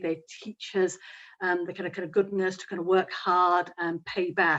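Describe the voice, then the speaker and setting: In a Yorkshire accent, a woman talks at a fairly quick pace against a quiet background. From Yorkshire, northern England. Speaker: barrister. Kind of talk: panel discussion.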